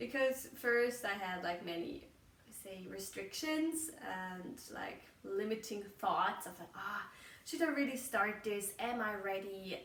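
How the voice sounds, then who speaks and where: With a German accent, a woman at medium pitch uses lively intonation and big swings in loudness, and audible room echo surrounds her voice. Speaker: podcaster. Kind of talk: casual monologue. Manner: halting, searching for words.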